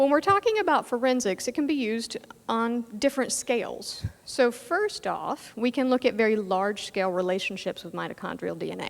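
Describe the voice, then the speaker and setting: An ordinary speaking voice with an American accent, lively intonation and a moderate pace. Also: woman. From US South. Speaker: genetics professor. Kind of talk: lecture.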